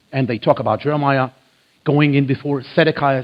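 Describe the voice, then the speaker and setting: Talking at a fairly quick pace, a man with a fairly high pitch speaks in an Israeli accent. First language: Hebrew. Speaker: biblical archaeology lecturer. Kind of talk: church lecture. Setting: church with audience.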